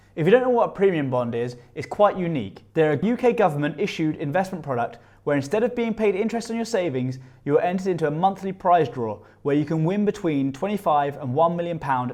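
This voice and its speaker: Very wide pitch swings from a man talking very fast, his voice fairly high. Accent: British. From UK. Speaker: personal finance youtuber. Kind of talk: scripted tutorial.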